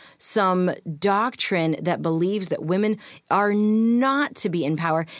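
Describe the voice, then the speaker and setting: A woman with an American accent speaks in a normal speaking voice at a medium pitch and moderate pace, her intonation lively, on a very clean recording with a silent background. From rural US, adopted from India as a toddler. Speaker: author and speaker. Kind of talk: interview.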